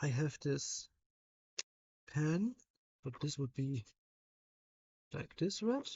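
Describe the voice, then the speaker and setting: A woman with a German accent speaks at a very slow pace. Her speech has long, frequent pauses. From Germany. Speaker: livestreamer. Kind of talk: casual live stream chat while drawing. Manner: halting.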